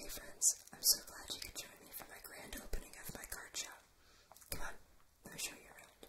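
Moderately paced whispering from a woman. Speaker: ASMR creator. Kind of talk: ASMR gameplay commentary. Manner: whispered. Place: home room.

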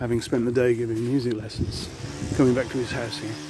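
The recording of a man's voice has a dry sound with no echo and noticeable background noise. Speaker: local history vlogger. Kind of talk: casual vlog chat. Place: street. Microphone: phone near.

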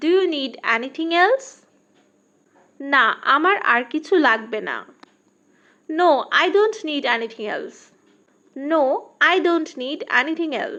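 A woman's raised, projected voice sits at an extremely high pitch, swinging very widely, with a bright, sharp tone. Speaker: English teacher. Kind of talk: tutorial.

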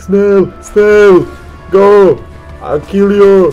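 Over clear music in the background, a man does a put-on character voice at a high pitch with monotone, flat intonation. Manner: threatening, aggressive.

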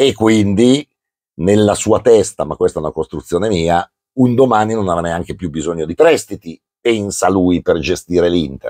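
Against a quiet background, a man talks at a moderate pace with lively intonation. His fairly low voice has a dark, mellow tone. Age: 60s. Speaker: football commentator. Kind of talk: casual chat. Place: home room. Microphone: lapel.

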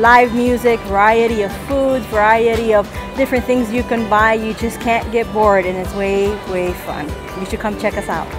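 Clear music sits in the background. The intonation stays fairly even. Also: woman, moderate pace, dry sound with no echo. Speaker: food stall vendor. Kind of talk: interview answer. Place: market. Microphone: lapel.

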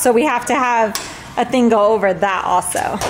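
Faint music plays in the background as a woman speaks at a moderate pace and a high pitch. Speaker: family vlogger. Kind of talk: casual vlog chat. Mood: excited, upbeat. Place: street. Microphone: phone near.

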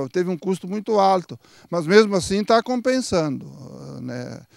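Over a quiet background, a man with a high voice talks at a moderate pace, and the sound is dry with no echo. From Rio Grande do Sul, Santa Maria area; Rio Grande do Sul, Brazil. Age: 60s. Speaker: dairy farmer. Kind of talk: interview. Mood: calm, explanatory. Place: farm. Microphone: handheld.

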